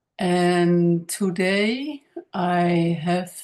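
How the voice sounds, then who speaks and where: A woman speaks with a Dutch accent. Her pitch is fairly low for a woman. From Netherlands. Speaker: spiritual healer and channel creator. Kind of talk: casual monologue to camera. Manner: halting, many fillers.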